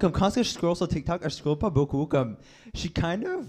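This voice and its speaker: Against a quiet background, a man with an Acadian accent speaks at a high pitch with ordinary pitch variation. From Acadia, New Brunswick. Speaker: drag queen. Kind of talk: casual chat. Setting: stage with audience.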